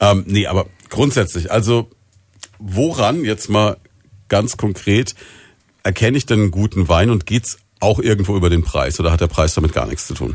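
The man's somewhat breathy voice sits at a fairly low pitch with ordinary pitch variation. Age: 40s. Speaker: radio host. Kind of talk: radio interview.

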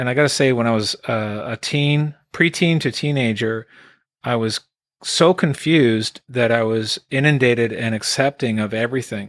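With a normal speaking voice, a man talks at a moderate pace and medium pitch with ordinary pitch variation, the sound dry and close with no echo. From Quebec, Canada (Eastern Townships), raised in Alberta from about 1980. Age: 50s. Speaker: singer-songwriter. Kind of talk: casual interview. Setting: remote online call.

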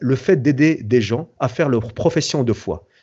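This is a man's voice. His pitch sits fairly high. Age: 40s. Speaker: entrepreneur and event founder. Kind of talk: interview. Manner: halting.

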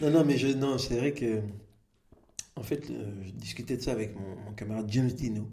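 Somewhat breathy and dark, mellow in tone, a man talks at a moderate pace with long, frequent pauses and audible room echo. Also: medium pitch for a man, ordinary pitch variation, big swings in loudness. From Belgium, Brussels area. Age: 40s. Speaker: comedian. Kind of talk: interview. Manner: halting.

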